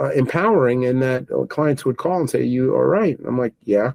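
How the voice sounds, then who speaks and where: Dry and close with no echo, the recording holds a man's dark, mellow tone at a medium pitch. He speaks with a New York accent. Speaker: technology business owner. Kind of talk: interview. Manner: halting, repetitive starts.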